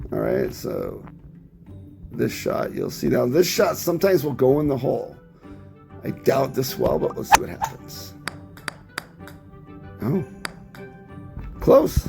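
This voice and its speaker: A man at a fairly slow pace, with long, frequent pauses and music in the background. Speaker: mobile gamer. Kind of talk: casual gameplay tutorial commentary.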